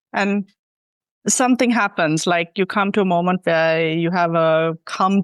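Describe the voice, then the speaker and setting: At a moderate pace, a woman speaks in an ordinary speaking voice, fairly low in pitch with fairly even intonation. The sound is dry and close with no echo, and the background is quiet. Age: 30s. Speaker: hieroglyphs student. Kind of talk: interview.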